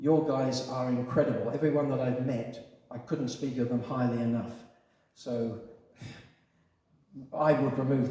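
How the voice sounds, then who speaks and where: Here a man talks with an Australian accent. His pitch is medium and his pace moderate. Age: 70s. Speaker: environmental volunteer, former police officer. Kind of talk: public presentation and community Q&A. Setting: community hall.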